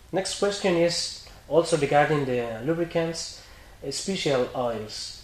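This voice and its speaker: A man's very slow speech in a Spanish accent, with ordinary pitch variation. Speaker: interviewer, shop representative. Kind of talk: interview. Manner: halting English.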